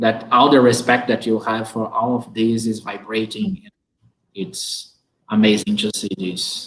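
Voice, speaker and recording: Speaking at a fairly slow pace with a Portuguese accent, a man uses a medium pitch and ordinary pitch variation. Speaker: teacher hosting an online talk. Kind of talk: interview conversation.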